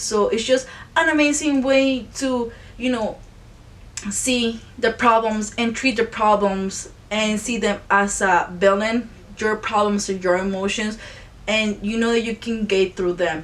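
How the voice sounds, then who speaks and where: The woman's pitch is fairly high, with ordinary variation. She speaks at a fairly slow pace. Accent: non-native. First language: not English. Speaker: YouTuber, film reviewer. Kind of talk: casual video review. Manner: halting, self-correcting.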